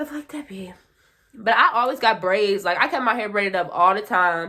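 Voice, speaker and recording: With lively intonation and big swings in loudness, a woman talks at a fairly quick pace in a medium pitch. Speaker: beauty YouTuber. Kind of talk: casual vlog talk. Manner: fast.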